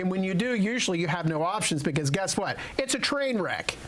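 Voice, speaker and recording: Delivered fairly quickly, the speech comes with clearly audible background noise. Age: 60s. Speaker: elder care adviser. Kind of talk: radio talk show interview.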